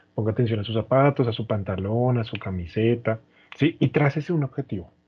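This somewhat breathy voice moves through ordinary pitch variation. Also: man. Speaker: podcast co-host. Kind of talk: casual chat.

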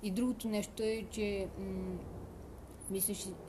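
Fairly slow speech from a woman amid noticeable background noise and audible room echo. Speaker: podcast co-host. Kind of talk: casual chat.

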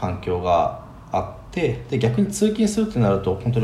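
A man is speaking at a moderate pace. Room echo can be heard around him. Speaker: remote contract worker living abroad. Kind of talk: casual chat.

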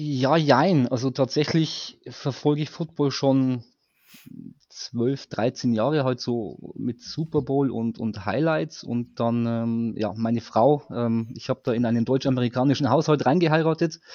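A man speaks fairly slowly in an unremarkable speaking voice, pitched medium with ordinary pitch variation. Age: 40s. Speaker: fan guest. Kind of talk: casual chat.

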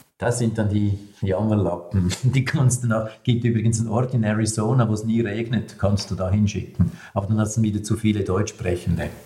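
Talking at a fairly quick pace in a Swiss German accent, a man holds a fairly low pitch with very even loudness and fairly even intonation. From eastern Switzerland, rural. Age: 60s. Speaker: communication trainer and speaker. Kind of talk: interview.

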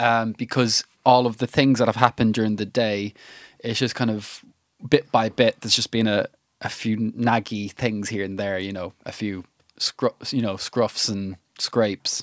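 Medium-pitched male voice with an Irish accent, fairly even intonation and a moderate pace, in a dry, close sound with no echo and a very clean recording with a silent background. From Ireland. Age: 30s. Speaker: musician and music producer. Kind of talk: casual chat. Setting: studio.

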